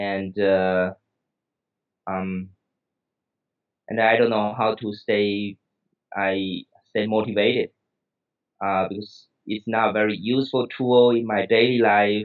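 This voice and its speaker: Speaking in a Taiwanese accent at a very slow pace, the voice stays monotone and flat, broken by long, frequent pauses. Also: man. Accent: Taiwanese Mandarin-accented English. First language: Mandarin Chinese. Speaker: psychiatrist and English learner. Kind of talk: interview. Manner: halting, many fillers.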